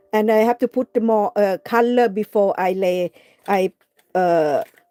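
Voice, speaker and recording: A woman speaks at a very slow pace with ordinary pitch variation, the sound dry and close with no echo and music playing in the background. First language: not English. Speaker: craft livestreamer. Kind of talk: live craft tutorial. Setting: live stream. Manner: halting, many fillers.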